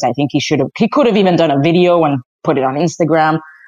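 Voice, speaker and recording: The speaker talks at a very fast pace with a Spanish accent. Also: woman. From Spain (Madrid). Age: 30s. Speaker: soccer commentator and family therapist. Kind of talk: casual chat. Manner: animated.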